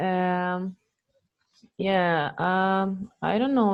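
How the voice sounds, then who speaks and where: A woman talks with a non-native accent at a fairly low pitch. Her intonation stays fairly even. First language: not English. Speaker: former coaching student. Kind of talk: testimony. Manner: halting.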